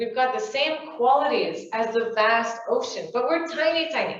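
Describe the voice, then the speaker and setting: With a French Canadian accent, a high-pitched woman speaks in an animated tone, her pitch swinging very widely amid audible room echo. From Quebec, Canada. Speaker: spiritual workshop speaker. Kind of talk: talk to small audience. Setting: room with live audience. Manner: animated, conversational.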